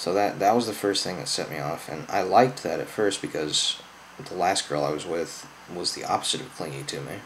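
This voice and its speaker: Over noticeable background noise, a man with an American accent and a very deep, low pitch talks fairly quickly, his loudness swinging widely and his pitch varying in an ordinary way. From US Midwest, Southern Illinois. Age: 20s. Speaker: YouTuber. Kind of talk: personal testimony. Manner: slurred.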